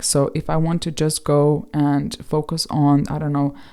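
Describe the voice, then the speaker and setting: A woman's dark, mellow voice with a non-native accent, at a fairly slow pace. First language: not English. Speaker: tarot reader and video creator. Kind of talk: casual video monologue. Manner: halting.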